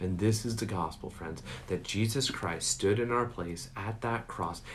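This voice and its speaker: Audible room echo surrounds a man who speaks fairly slowly, with a fairly low pitch and ordinary pitch variation. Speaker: pastor. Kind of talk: sermon.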